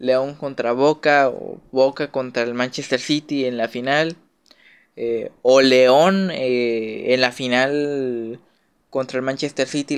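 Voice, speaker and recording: Over a quiet background, a man speaks very slowly with fairly even intonation. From Mexico. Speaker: YouTuber, football commentator. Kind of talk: casual monologue. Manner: hesitant, many fillers.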